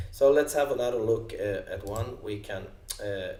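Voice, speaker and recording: A man speaks in a Swedish accent. Audible room echo surrounds his voice. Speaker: software company co-founder. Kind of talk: software demo tutorial. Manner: halting, many fillers.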